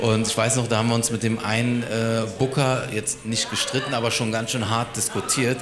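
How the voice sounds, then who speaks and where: With noticeable background noise and audible room echo, a man speaks in fairly even intonation. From Berlin-Neukölln. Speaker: restaurant co-founder. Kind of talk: casual interview. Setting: live podcast in restaurant.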